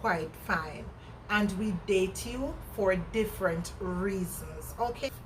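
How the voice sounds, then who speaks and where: In a room with audible echo, a woman with a Jamaican accent speaks at a very slow pace, medium in pitch, with ordinary pitch variation. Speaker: vlogger. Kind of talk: casual chat. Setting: outdoors. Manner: animated.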